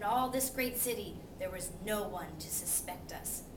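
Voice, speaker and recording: Loud background noise surrounds a woman doing a put-on character voice. She keeps a medium pitch and a moderate pace. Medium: read story. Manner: quivery when scared.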